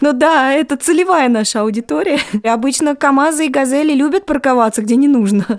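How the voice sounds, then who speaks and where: The speaker is a woman with a high pitch. She moves at a fairly quick pace. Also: ordinary pitch variation. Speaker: radio host. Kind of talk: radio talk show, interviewing by phone.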